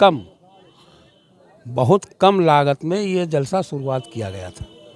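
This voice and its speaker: A man is speaking. His intonation is lively. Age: 70s. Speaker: event announcer. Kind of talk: interview.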